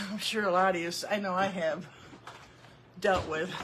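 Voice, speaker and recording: A woman with an American accent talks at a moderate pace against noticeable background noise. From Central New York. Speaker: craft video host. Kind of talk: informal. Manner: casual, chatty.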